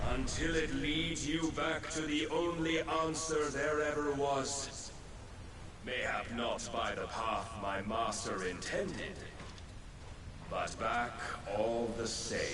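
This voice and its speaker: Over loud background noise, a man uses a put-on character voice, fairly high in pitch and at a fairly slow pace. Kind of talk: archaic formal speech. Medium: short film.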